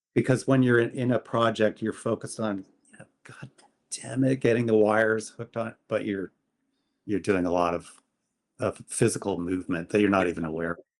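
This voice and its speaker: A plain, everyday voice at a fairly quick pace with ordinary pitch variation. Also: man, fairly low pitch for a man. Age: 60s. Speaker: photographer, podcast guest. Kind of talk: casual interview chat.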